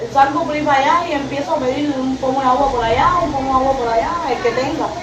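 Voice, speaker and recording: A woman speaks at a very fast pace in a high voice with ordinary pitch variation. Audible room echo and noticeable background noise fill the recording. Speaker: Havana resident interviewed in street. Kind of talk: street interview complaint.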